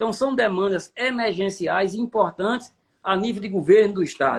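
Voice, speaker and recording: The speaker, a man, pitches his voice high. Its rise and fall is ordinary. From Paraíba, Brazilian Northeast. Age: 60s. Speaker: city councillor. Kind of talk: interview.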